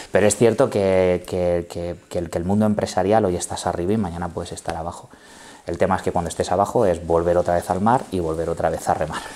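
A man's very deep, low voice, dark and mellow in tone, at a very fast pace with fairly even intonation. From Spain, Ciudad Real; Spain. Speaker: company CEO; guest. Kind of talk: interview. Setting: bar set. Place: studio. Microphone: lapel.

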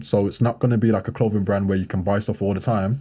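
Dark, mellow tone from a male speaker. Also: quiet background. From Birmingham, England. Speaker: professional basketball player and model; podcast guest. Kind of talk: casual interview chat. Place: studio. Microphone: studio mic.

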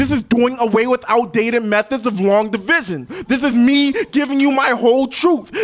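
Animated in tone, a man speaks at an extremely high pitch with ordinary pitch variation. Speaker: slam poet. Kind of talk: spoken word poem performance. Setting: stage with audience. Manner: animated, emphatic; rhythmic, pointed delivery. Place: bar.

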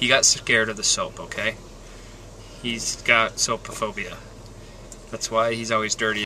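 There's light background noise as a man speaks in a flat, monotone way. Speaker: family vlogger. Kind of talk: casual vlog chat. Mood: playful, joking. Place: car. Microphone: phone near.

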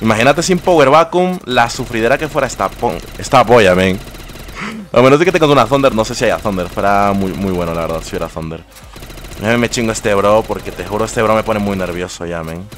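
Over noticeable background noise, a man talks at a very fast pace in a fairly low pitch with very wide pitch swings. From Ecuador. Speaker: gaming streamer. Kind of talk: live gameplay commentary. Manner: animated.

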